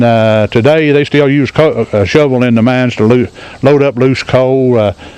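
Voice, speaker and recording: A man speaks with an American accent in a medium pitch. Noticeable background noise runs underneath. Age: 70s. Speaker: retired coal miner. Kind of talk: guided tour talk. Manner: hesitant, folksy.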